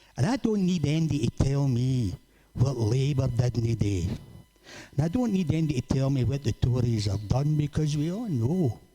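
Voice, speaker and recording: Here a man talks at a moderate pace with a medium pitch and lively intonation. His tone is dark and mellow, and somewhat breathy. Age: 70s. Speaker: charity volunteer. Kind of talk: personal testimony speech. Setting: community hall with audience.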